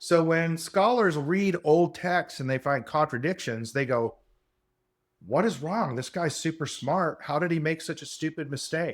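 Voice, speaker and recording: A man with a normal speaking voice, fairly high in pitch, talks fairly slowly with ordinary pitch variation in a very clean recording with a silent background. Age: 60s. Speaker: podcast host. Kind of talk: solo monologue lecture. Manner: casual, hedging with fillers.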